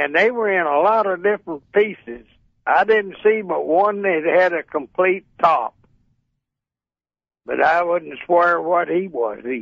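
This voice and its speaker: A high-pitched man with lively intonation and long, frequent pauses. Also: fairly slow pace. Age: 80s+. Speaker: retired air force colonel and pilot. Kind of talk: radio interview answer. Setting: phone line.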